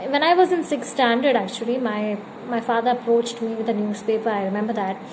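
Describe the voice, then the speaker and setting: A woman with a Keralan accent speaks at a fairly high pitch with fairly even intonation, with audible room echo and noticeable background noise. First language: Malayalam. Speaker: YouTuber. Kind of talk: personal vlog storytelling. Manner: halting, many fillers.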